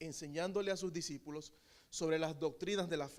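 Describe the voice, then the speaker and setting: A man's high voice with a Nicaraguan accent, fairly slow, with ordinary pitch variation. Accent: Nicaraguan, drops final letters. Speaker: preacher. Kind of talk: sermon.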